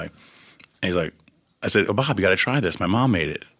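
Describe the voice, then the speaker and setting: A man speaks in a New York accent. His tone is bright and sharp. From Long Island, New York (Syosset). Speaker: record producer and music supervisor. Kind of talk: casual chat. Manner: fast.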